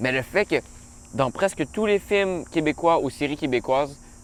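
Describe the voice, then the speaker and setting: Lively intonation marks this man's speech. He talks at a moderate pace. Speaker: interviewer. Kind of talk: casual interview.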